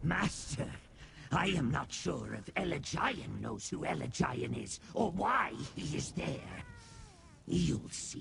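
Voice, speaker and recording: A man's put-on character voice at a fairly slow pace, with clear background noise. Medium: video game. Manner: grandiose yet fawning, calls listener master.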